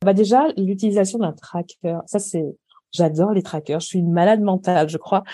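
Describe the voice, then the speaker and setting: This woman has a dark, mellow tone and a medium pitch, speaking at a moderate pace with ordinary pitch variation. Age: 40s. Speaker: culinary and organisation coach. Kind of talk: casual interview.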